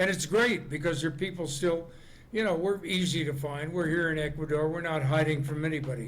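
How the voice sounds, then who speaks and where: With an American accent, a man talks at a fairly quick pace and a fairly high pitch, using fairly even intonation amid noticeable background noise and audible room echo. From Las Vegas, Nevada, US. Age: 80s+. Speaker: comedian. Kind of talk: interview.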